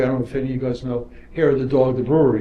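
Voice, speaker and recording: With a New York accent, a man talks over noticeable background noise in audible room echo. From New York, Brooklyn. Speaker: property developer. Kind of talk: panel discussion. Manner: repetitive stammering starts.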